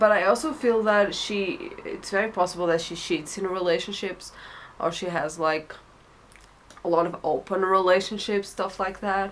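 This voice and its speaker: At a moderate pace, a woman with a medium-pitched voice and a non-native accent speaks with ordinary pitch variation. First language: not English. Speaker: tarot reader. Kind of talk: tarot reading monologue. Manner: hesitant, many fillers.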